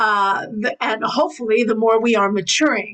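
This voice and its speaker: A woman with an American accent talks at a fairly quick pace in a fairly high pitch with ordinary pitch variation over noticeable background noise. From New York. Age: 60s. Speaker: priestess and spiritual teacher. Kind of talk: interview.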